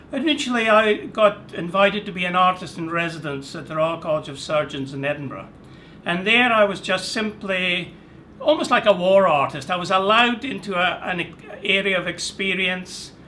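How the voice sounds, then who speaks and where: There is noticeable background noise as a man speaks in a high voice. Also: lively intonation, moderate pace. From Scotland. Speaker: artist and art professor. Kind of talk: interview.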